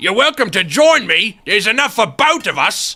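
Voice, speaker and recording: Using a put-on character voice, a husky man talks at a moderate pace. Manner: teasing, sly.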